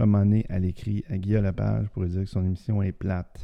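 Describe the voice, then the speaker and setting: A man's fairly low, dark and mellow voice in a Quebec accent, with ordinary pitch variation and a fairly slow pace. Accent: Québécois French. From Quebec City region. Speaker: podcast co-host. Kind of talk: casual chat.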